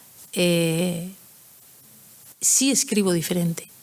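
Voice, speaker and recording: This woman speaks with a Basque accent and ordinary pitch variation. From Basque Country. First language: Basque (speaking Spanish). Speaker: writer. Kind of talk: conference Q&A. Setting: hall with audience. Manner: halting.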